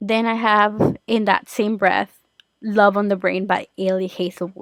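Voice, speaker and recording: A woman with a Spanish accent talks at a moderate pace in a medium-pitched, flat monotone, the sound dry and close with no echo. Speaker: podcast host. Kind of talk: casual chat.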